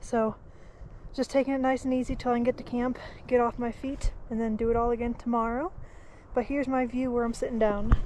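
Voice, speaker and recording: Flat and monotone, a woman speaks at a fairly quick pace in a high pitch with a dark, mellow tone and long, frequent pauses. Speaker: thru-hiker vlogger. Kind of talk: casual vlog narration. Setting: outdoors on a hiking trail; in a tent at a campsite. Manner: soft-spoken.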